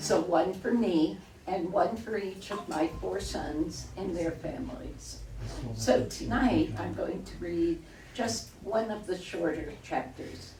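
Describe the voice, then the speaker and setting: With audible room echo and noticeable background noise around her, a woman talks at a very slow pace. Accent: American. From New York. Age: 70s. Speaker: local author. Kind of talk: reading aloud.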